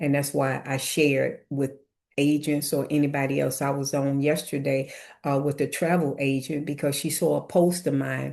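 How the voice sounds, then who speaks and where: A woman speaks at a moderate pace in a very deep, low pitch, with vocal fry, very even loudness and a monotone, flat intonation. The background is quiet. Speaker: real estate coach. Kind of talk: webinar tutorial.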